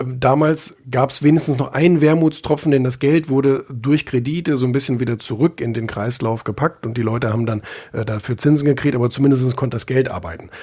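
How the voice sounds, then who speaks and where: In a dark, mellow tone, a man speaks fairly quickly at a medium pitch, somewhat breathy, with ordinary pitch variation. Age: young. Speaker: magazine publisher and author. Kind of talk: casual interview. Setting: live social audio room. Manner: hesitant, many filler sounds.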